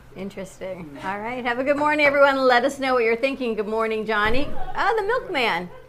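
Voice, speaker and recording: A woman's high voice at a fairly quick pace, with lively intonation and noticeable background noise. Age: 50s. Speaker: morning show co-host. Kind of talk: casual chat. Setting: studio (cafe set with camera).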